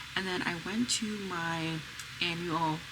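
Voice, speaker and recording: A soft-spoken woman with a fairly low pitch talks amid noticeable background noise and audible room echo. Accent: American. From US, Pennsylvania. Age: 30s. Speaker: mom vlogger. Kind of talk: casual vlog talk. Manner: soft, low voice.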